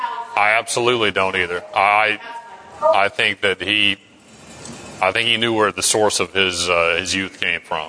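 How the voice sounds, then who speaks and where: Against noticeable background noise, a man speaks at a fairly slow pace. His pitch is fairly low and his intonation fairly even. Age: 40s. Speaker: Bible study class leader. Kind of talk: Bible study class discussion. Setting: church classroom, streamed online.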